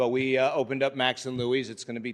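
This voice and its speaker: Against a quiet background, a man speaks with a New York accent. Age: 60s. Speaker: restaurant owner. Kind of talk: public meeting presentation. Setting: city council meeting.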